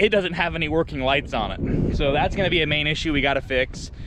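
Fairly quick speech, dry with no echo, over noticeable background noise. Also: man. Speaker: farmer vlogger. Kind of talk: casual vlog chat. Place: farm machine. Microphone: phone near.

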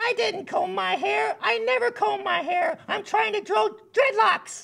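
In a cartoonish character voice, the speaker talks at a fairly slow pace with an extremely high pitch. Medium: puppet.

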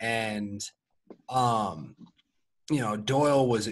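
A man speaks in a normal speaking voice. His pitch is medium, with ordinary pitch variation. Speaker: podcast co-host, former college football player. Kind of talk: casual chat.

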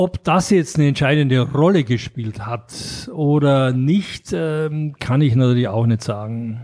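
At a fairly slow pace, a man speaks with a dark, mellow tone at medium pitch in a very clean recording with a silent background. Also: ordinary pitch variation. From Austria, Graz. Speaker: board game publisher. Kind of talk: interview. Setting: in person, Mallorca. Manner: halting, many fillers.

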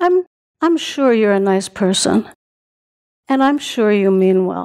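A woman speaks very slowly, and the background is quiet. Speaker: stage actor. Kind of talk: solo theatre monologue. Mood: wistful to humorous. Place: stage. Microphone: headset.

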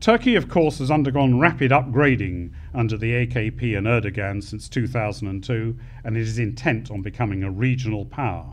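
A man with a British accent at a medium pitch, a moderate pace and ordinary pitch variation. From United Kingdom. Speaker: retired air force officer; conference speaker. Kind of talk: conference closing speech. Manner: formal. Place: hall. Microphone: podium.

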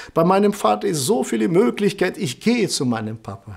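A man talks at a moderate pace in a high pitch, with very wide pitch swings. The background is quiet. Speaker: preacher. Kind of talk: sermon. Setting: church service, online broadcast. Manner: earnest, preaching cadence, repeating phrases for emphasis. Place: studio.

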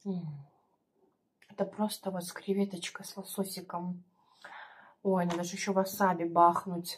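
Over light background noise, a woman talks in a flat, monotone way. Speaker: mukbang vlogger. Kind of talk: casual vlog chat. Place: home room. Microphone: phone near.

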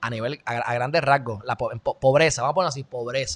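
Lively intonation and an animated tone mark this man's speech, which has a bright, sharp tone. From Puerto Rico. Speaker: commentary show host; podcast host. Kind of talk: opinion commentary monologue; casual podcast commentary. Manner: halting, many self-corrections. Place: home room. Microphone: studio mic.

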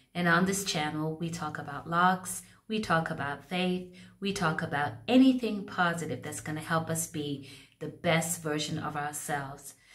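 With ordinary pitch variation, a plain, everyday voice keeps to a moderate pace. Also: woman, fairly low pitch for a woman. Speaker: hair care vlogger. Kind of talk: casual vlog chat. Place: bathroom. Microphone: phone near.

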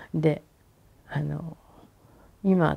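In a Hiroshima accent, a woman speaks with a very deep, low pitch and a dark, mellow tone. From Hiroshima, Japan; Japan. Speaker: atomic bomb survivor. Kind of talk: testimony. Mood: calm, at times emotional. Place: home room. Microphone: lapel.

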